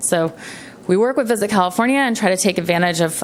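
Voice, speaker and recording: A woman talks at a fairly quick pace with ordinary pitch variation, against noticeable background noise. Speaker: county tourism marketing presenter. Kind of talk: presentation at public meeting. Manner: fast.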